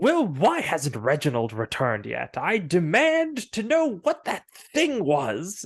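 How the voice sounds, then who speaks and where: The man's voice is high-pitched. He is using a put-on character voice. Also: fairly slow pace. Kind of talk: imperious, lordly. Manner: haughty, demanding.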